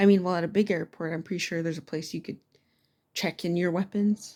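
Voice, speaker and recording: A soft-spoken woman talks at a very fast pace. Her medium-pitched voice has a dark, mellow tone. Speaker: student. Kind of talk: casual spoken assignment response. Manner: casual, halting with fillers.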